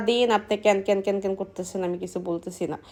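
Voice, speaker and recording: Fairly even intonation runs through this dark, mellow-toned voice. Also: woman. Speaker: vlogger. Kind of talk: casual vlog monologue. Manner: loud.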